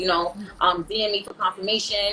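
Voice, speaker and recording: A woman at a medium pitch in a New York accent, with noticeable background noise. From New York, Brooklyn (Brownsville). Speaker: rapper. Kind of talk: casual interview chat.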